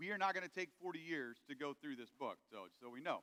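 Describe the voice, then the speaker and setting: Very fast and raised to a projected level, a man's bright, sharp voice comes across dry and close with no echo. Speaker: pastor. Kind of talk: sermon.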